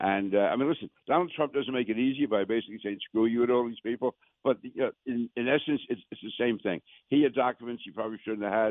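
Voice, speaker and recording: Speaking at a very fast pace in a New York accent, the man has a medium pitch and ordinary pitch variation. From Queens, New York.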